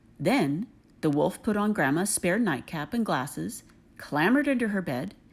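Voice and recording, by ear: A natural voice reading aloud, its intonation lively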